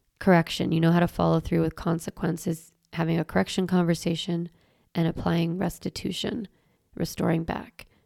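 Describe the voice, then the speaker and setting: The woman's voice is fairly low, dark and mellow, with vocal fry. Her intonation stays monotone and flat, and the sound is dry and close with no echo. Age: 40s. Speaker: parenting educator and podcast host. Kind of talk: solo podcast monologue. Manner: casual, conversational.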